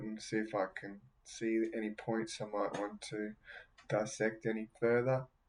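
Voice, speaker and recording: Fairly slow speech from a man with an Australian accent. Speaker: podcast host reading near-death experience accounts. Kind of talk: casual commentary. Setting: home, seated by a window. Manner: hesitant, many fillers.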